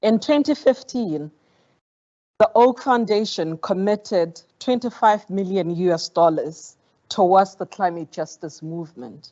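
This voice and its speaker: At a fairly slow pace, a woman with a Botswana accent speaks at a medium pitch with ordinary pitch variation. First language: Setswana. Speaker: foundation program director. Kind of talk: formal speech. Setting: conference auditorium. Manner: formal.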